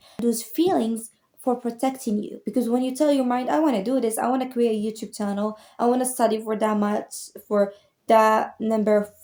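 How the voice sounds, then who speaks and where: Over a very clean recording with a silent background, a woman talks at a fairly high pitch with a non-native accent. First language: not English. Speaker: motivational YouTuber. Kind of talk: motivational talk to camera. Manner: casual, conversational.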